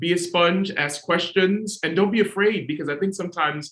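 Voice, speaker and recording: Lively intonation from a male speaker with an American accent. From New York City. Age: 40s. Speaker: opera singer. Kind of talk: panel discussion. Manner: halting.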